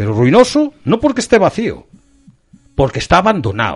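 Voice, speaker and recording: Speaking at a moderate pace, a man shows vocal fry and very wide pitch swings. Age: 50s. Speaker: local political activist. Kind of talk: interview.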